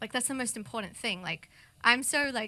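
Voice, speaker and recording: Fairly quick and bright, sharp in tone, a woman talks with an Australian accent. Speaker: multimedia artist and music producer. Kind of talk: interview.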